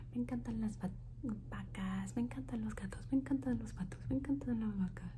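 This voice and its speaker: Noticeable background noise accompanies speech at a moderate pace. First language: English (speaking Spanish). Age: 20s. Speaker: ASMR youtuber. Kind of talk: ASMR Q&A video. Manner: soft whispered ASMR delivery; repetitive word looping.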